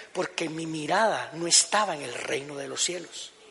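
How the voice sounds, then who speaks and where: Noticeable background noise behind a man's moderate pace. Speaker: pastor. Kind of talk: sermon.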